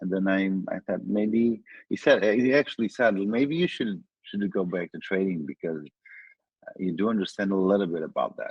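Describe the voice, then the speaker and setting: A man with a Portuguese accent speaks at a fairly low pitch. His pitch varies in an ordinary way. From Portugal. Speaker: trader. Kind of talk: interview. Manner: halting.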